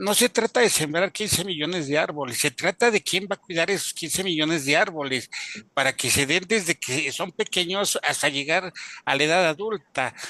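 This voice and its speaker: A man speaks at a moderate pace with a high pitch and a bright, sharp tone. His pitch varies in an ordinary way, and the sound is dry and close with no echo. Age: 60s. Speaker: webinar participant. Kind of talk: audience comment in online webinar. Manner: halting, many fillers.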